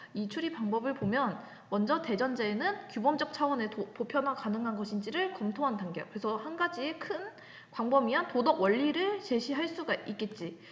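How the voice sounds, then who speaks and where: A woman's high-pitched voice with very wide pitch swings, plus audible room echo and noticeable background noise. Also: moderate pace. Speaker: high school ethics teacher. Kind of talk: recorded online lecture. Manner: casual, talkative.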